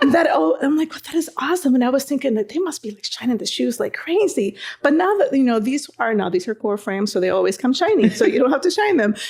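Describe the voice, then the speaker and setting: A woman with a Spanish accent talks at a very fast pace with hardly any pauses, her high pitch making very wide swings in an animated tone, with noticeable background noise. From Dominican Republic. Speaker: Marine veteran, veterans coordinator. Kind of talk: casual chat.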